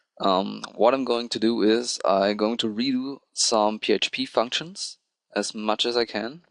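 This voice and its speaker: A man speaks with a non-native accent and fairly even intonation. The sound is dry and close, with no echo. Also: quiet background. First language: not English. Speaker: programming tutorial creator. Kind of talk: tutorial. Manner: hesitant, with filler ums.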